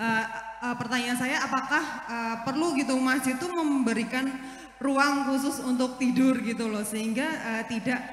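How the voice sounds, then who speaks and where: Amid audible room echo and noticeable background noise, a woman with a strong Javanese accent speaks at a moderate pace in a high pitch with fairly even intonation. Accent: thick Javanese. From East Java. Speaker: audience member asking a question. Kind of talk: Q&A question at religious talk. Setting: mosque gathering. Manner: halting, many fillers.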